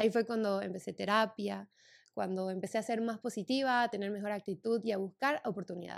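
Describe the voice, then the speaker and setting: A normal speaking voice from a woman at medium pitch, fairly quick and with ordinary pitch variation. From Santa Cruz de la Sierra, Bolivia. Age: 20s. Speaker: podcast host. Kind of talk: personal storytelling monologue.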